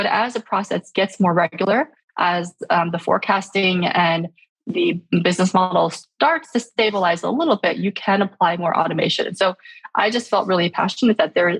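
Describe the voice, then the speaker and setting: A woman speaks at a medium pitch and a moderate pace, her voice somewhat breathy with ordinary pitch variation, in a dry, close sound with no echo. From born in Shanghai, raised speaking Chinese at home. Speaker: startup founder and CEO. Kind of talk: podcast interview. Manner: many fillers and false starts.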